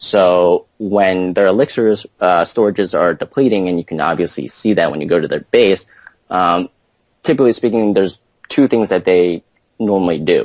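A man speaks at a moderate pace in an unremarkable speaking voice, fairly low in pitch with ordinary pitch variation. The sound is dry and close, with no echo. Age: 20s. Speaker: top-ranked mobile game player. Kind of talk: interview.

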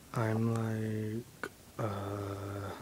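The speaker is soft-spoken. There is light background noise. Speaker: home video maker. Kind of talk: casual talk to camera. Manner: soft-spoken, hesitant. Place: home room. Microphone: phone near.

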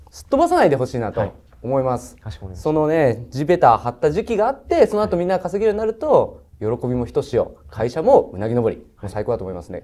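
Speaking at a fairly quick pace with hardly any pauses, a man's loudness swings widely against a quiet background. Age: middle-aged. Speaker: investor panelist on a business pitch show; panelist. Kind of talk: pitch panel critique and verdict. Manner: casual, blunt. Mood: warm, encouraging. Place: studio.

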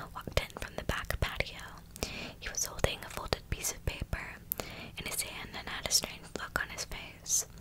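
This woman keeps a moderate pace while loud background noise fills the recording. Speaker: storyteller. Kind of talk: narrated scary story reading. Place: home room. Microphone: earbuds.

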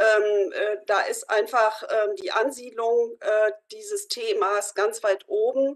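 Over a quiet background, a woman speaks at a very slow pace with hardly any pauses. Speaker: youth and community work representative. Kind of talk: discussion statement. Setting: video call. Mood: earnest, concerned. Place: home room. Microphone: video call.

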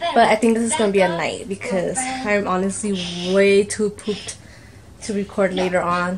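At a moderate pace, a woman speaks at medium pitch with fairly even intonation over faint background noise.

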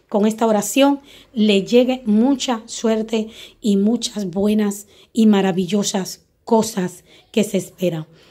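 A woman speaks at a fairly high pitch with a dark, mellow tone. Her intonation is fairly even. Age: 40s. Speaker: spiritual guide. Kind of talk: spiritual teaching video.

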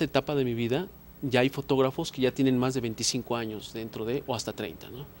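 Over light background noise, a man speaks at a moderate pace with a medium pitch and fairly even intonation. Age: 40s. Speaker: photographer; guest. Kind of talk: interview. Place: studio. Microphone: handheld.

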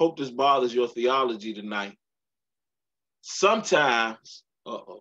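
Against a quiet background, a man with a bright, sharp, animated tone and lively intonation speaks at a fairly slow pace, leaving long, frequent pauses. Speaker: pastor leading Bible study. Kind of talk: midweek Bible study teaching with preaching delivery, call-and-response style. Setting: church livestream on Facebook Live. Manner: animated, emphatic, repeats key lines for emphasis; warm, humorous, engages audience. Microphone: video call.

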